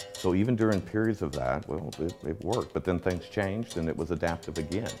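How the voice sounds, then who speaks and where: Music plays in the background as a man with a very deep, low pitch talks with lively intonation. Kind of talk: interview answer.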